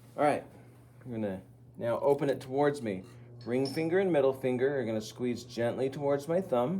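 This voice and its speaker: The voice has a dark, mellow tone and ordinary pitch variation at a fairly quick pace. Audible room echo is present. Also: man, medium pitch for a man. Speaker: ceramics teacher. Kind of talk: classroom demonstration.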